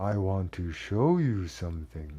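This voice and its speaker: Putting on a creaky character voice, a man speaks fairly slowly with a very deep, low pitch. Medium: read story. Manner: slow, distant-sounding.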